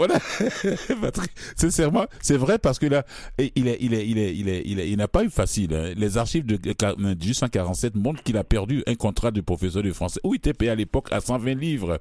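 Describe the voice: A man talks at a fairly quick pace with a fairly low pitch and slightly mellow tone. His pitch swings are big.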